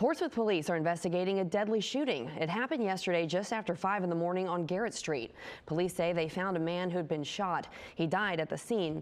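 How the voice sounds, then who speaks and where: Here is a woman with an ordinary speaking voice and a fairly low pitch. She talks at a fairly quick pace, her loudness very even and her pitch varying in an ordinary way. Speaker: TV news anchor. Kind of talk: TV news read.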